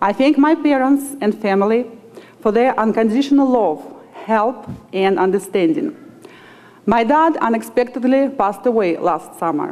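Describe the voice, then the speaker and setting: There is noticeable background noise as a woman speaks in a Russian accent. Her pitch is fairly high, her intonation lively and her pace fairly slow. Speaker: student speaker. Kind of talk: commencement speech. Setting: graduation ceremony with audience.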